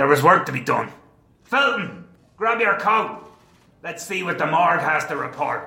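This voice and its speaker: Putting on a gruff character voice, a man sounds angry at a high pitch, his intonation lively and his moderate pace marked by long, frequent pauses, with a slight echo behind him. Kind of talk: hardboiled noir narration. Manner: gruff, angry, profane.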